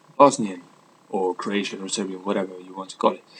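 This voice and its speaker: A man talks in a fairly low voice as noticeable noise carries on in the background. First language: Italian. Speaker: vlogger and life coach. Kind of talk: casual vlog monologue. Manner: hesitant, many fillers.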